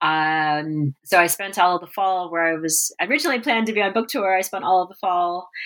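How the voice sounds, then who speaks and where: Here is a normal speaking voice with an American accent and ordinary pitch variation. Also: woman. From South Texas, Corpus Christi. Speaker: author and journalist. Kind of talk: interview.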